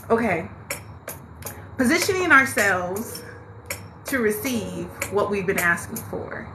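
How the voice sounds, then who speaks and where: A woman speaks at a fairly slow pace in a fairly high voice with lively intonation. Noticeable background noise and audible room echo surround her. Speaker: spiritual live-stream host, tarot reader. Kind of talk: live-stream motivational talk. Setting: TikTok live stream. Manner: loud, animated.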